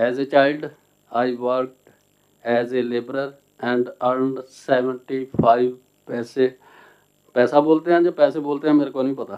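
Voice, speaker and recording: Speaking in a Punjabi accent, a man with a medium pitch talks at a fairly slow pace in a monotone, flat delivery, with long, frequent pauses. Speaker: translator and author. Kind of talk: seminar talk. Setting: seated at seminar panel. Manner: halting.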